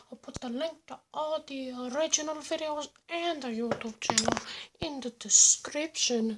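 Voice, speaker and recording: A female-sounding, put-on character voice, high-pitched, at a moderate pace. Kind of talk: casual reaction commentary. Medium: role play. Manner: upbeat, exaggerated.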